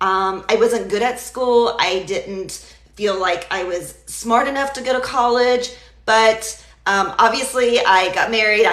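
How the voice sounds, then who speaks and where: Bright and sharp in tone, a woman's voice shows ordinary pitch variation, with audible room echo around it. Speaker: digital marketer and healthcare worker. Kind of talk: live stream talk. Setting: live social media video. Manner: stutters at times.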